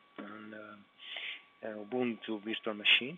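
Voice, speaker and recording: A man speaks very slowly in an Italian accent. His pitch is medium and his intonation monotone and flat. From Italy. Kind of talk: live screen-recorded computer walkthrough. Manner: hesitant, halting, many filler sounds.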